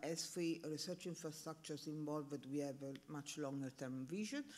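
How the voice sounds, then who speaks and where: The speaker has an Italian accent and keeps a moderate pace. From Italy. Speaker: panel speaker on research infrastructure. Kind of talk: conference presentation. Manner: halting, many fillers.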